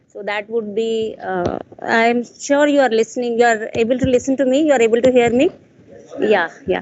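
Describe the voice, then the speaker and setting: A woman's fairly high voice moves at a moderate speed, its pitch varying normally, while noticeable background noise carries on. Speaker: conference speaker. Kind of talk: conference talk. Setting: stage with audience. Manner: loud.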